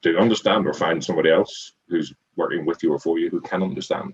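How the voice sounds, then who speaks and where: An Irish accent carries this man's speech. He talks at a very fast pace. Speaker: restaurant group CEO and former accountant. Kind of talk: interview. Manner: repetitive, halting with many false starts.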